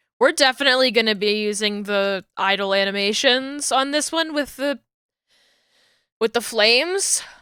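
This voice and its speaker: In a New Jersey accent, a woman speaks at a fairly slow pace with a fairly high pitch, lively intonation and a bright, sharp tone, in a dry, close sound with no echo. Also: very clean recording, silent background. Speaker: streamer and model rigger. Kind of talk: casual livestream chat while working. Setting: livestream. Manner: hesitant, filler-heavy.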